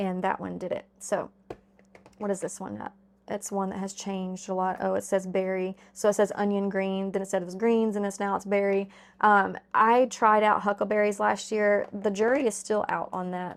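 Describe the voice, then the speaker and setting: Over a silent background on a very clean recording, a woman talks at a moderate pace in a monotone, flat intonation. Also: medium pitch for a woman. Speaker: gardening channel host. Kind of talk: casual tutorial. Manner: casual, filler-heavy.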